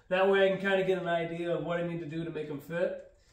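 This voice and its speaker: Audible room echo surrounds a man's voice. He speaks at a high pitch and a fairly quick pace. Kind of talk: tutorial. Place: garage. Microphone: camera far.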